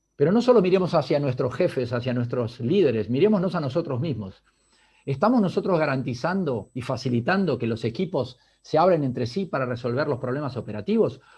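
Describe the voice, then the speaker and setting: With an Argentine accent, a man speaks at a fairly high pitch and a fairly quick pace, his intonation lively and his voice somewhat breathy, against a quiet background. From Argentina. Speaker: business leader. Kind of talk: talk.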